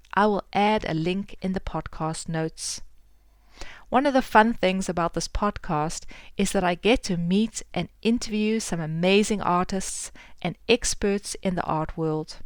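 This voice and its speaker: In a very clean recording with a silent background, a woman with a South African accent speaks fairly slowly at medium pitch, with ordinary pitch variation. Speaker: podcast host and artist. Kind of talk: podcast intro and interview.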